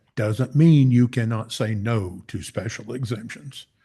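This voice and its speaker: Fairly slow, fairly even speech from a man with a medium-pitched voice. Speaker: public commenter at county meeting. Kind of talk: public comment. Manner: loud.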